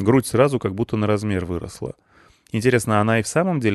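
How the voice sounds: A natural reading voice, its pitch shifting by ordinary amounts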